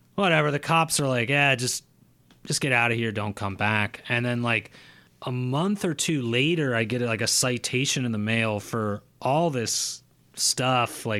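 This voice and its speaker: On a very clean recording with a silent background, a man speaks in a bright, sharp tone at a medium pitch. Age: 30s. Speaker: horror podcaster and musician. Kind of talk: casual chat.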